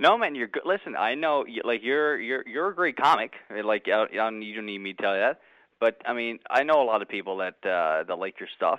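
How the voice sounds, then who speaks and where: A man's medium-pitched voice with a slight Canadian accent, lively intonation and a fairly quick pace. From Canada. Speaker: radio host. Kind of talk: casual chat. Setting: phone call.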